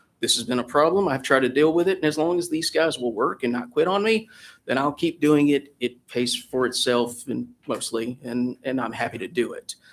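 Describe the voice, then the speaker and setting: This is a man with a fairly high pitch. His voice shows ordinary pitch variation. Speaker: ambulance service operator. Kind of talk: public hearing testimony. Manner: fast.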